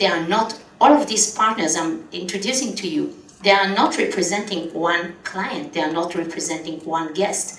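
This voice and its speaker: A woman with an Israeli accent talks at a moderate pace and medium pitch with lively intonation. Noticeable background noise and audible room echo are present. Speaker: travel company founder and conference speaker. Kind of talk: conference talk. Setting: conference stage with audience.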